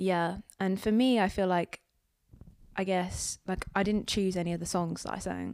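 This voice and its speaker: A woman of medium pitch speaks at a moderate pace with fairly even intonation in a plain, everyday voice, on a very clean recording with a silent background. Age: 20s. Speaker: singer-songwriter. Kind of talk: interview.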